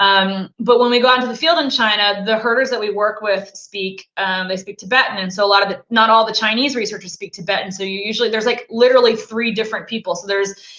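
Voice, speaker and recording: A woman talks at a very fast pace in an American accent. Her pitch is fairly high. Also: fairly even intonation, hardly any pauses. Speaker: snow leopard researcher. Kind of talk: interview on live stream.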